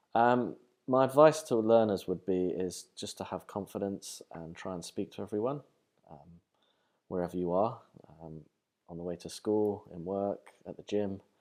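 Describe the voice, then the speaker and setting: In a London accent, a man speaks at a moderate pace with a fairly low pitch and ordinary pitch variation. His loudness swings widely in a very clean recording with a silent background. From London, England. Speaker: professor. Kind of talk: interview monologue. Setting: university. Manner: halting, many fillers.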